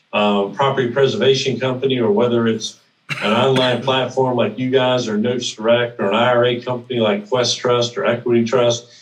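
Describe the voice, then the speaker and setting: A man talks at a fairly quick pace at medium pitch, in an ordinary speaking voice. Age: 60s. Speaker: note investing mentor and event organizer. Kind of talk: podcast interview.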